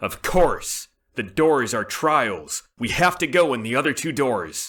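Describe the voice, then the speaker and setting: Putting on a character voice, a man speaks at a fairly slow pace. His medium pitch moves with lively intonation. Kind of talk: radio comedy drama.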